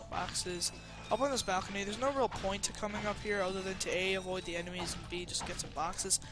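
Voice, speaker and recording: Music plays in the background as a man talks at a very fast pace. His pitch is high and his intonation fairly even. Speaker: video game let's player. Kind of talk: gameplay commentary. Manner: casual, hesitant with many fillers.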